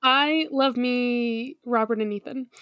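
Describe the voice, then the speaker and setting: A female-sounding voice puts on a character voice, pitched high for a woman. She speaks at a fairly slow pace. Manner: mock piratical, playful.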